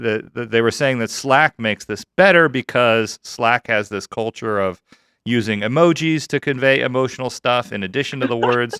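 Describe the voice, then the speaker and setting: In a dry, close sound with no echo, a man speaks with a bright, sharp tone. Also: medium pitch for a man, ordinary pitch variation, moderate pace, very clean recording, silent background. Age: 40s. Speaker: podcast co-host in tech sales. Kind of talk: podcast chat.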